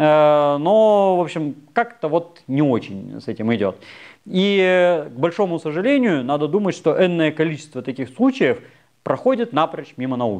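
A man speaks at a fairly slow pace against a quiet background, his fairly high voice making very wide pitch swings. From Russia. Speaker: anthropologist, university lecturer; anthropologist lecturer. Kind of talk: popular science lecture. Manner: casual, hesitant fillers (э). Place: studio. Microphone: lapel.

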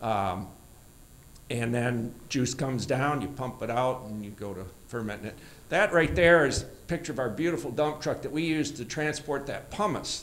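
With an American accent, a man speaks at a moderate pace in a medium-pitched voice with lively intonation. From Michigan. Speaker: orchard owner and cider maker; presenter. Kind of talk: conference presentation. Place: hall. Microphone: handheld.

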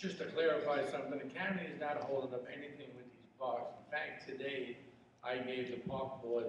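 A man's voice with ordinary pitch variation, audible room echo and light background noise. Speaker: candidate. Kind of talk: debate answer. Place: hall.

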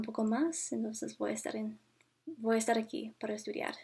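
A woman's fairly high, somewhat breathy voice. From Canada, Ontario. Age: 20s. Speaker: university student. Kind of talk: language practice monologue. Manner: halting, many fillers. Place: home room. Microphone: webcam.

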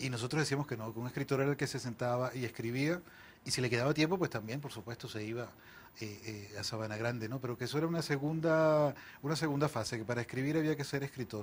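A man's somewhat breathy, medium-pitched voice at a very fast pace. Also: ordinary pitch variation. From Venezuela, Barquisimeto (Lara) and Caracas; Venezuela. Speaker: novelist; interviewee. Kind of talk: interview. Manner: halting, frequent repetitions. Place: studio. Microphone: lapel.

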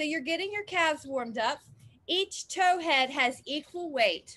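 A woman's raised, projected voice with a bright, sharp tone, lively intonation and a fairly slow pace. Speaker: fitness instructor. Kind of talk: exercise class instruction. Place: garden.

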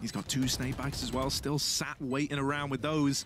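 A man with a medium pitch speaks in an animated, dramatic tone. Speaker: esports caster play-by-play commentator. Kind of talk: live esports commentary, play-by-play. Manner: animated, fast-paced, dramatic, builds hype around clutch moments.

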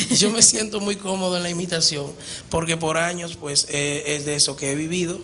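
Faint background noise sits behind a man with a fairly high pitch and a bright, sharp tone. He speaks at a moderate pace with fairly even intonation.

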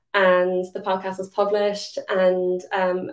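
With a Limerick accent, a woman speaks at a medium pitch in a monotone, flat intonation against a quiet background. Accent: Irish (Limerick). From Ireland, Limerick; Ireland. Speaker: diabetes advocate; presenter. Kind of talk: conference presentation. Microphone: webcam.

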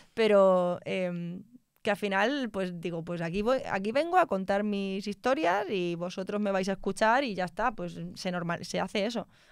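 A woman at a medium pitch and moderate pace, with ordinary pitch variation, a dry sound with no echo and a quiet background. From Spain, Extremadura (Mérida); Extremadura, Spain. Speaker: telecom engineer; guest. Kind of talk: interview conversation. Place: studio. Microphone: studio mic.

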